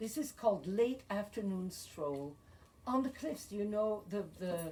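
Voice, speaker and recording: A woman speaks with a Belgian accent. Her intonation is lively. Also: medium pitch for a woman, fairly slow pace. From Belgium. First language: French and Flemish. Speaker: poet. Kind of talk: poetry reading.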